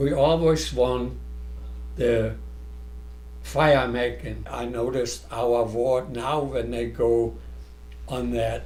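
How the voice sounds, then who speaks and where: Against audible room echo, a man speaks at a very slow pace with long, frequent pauses. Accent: German. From Germany. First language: German. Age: 90s. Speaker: scout leader. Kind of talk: reminiscing interview.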